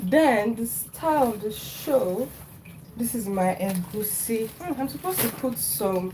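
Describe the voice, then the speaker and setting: Speaking very slowly, a woman with a fairly high pitch uses lively intonation over noticeable background noise. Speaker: cooking livestreamer. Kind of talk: live cooking stream, casual chat. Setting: home kitchen. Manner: chatty.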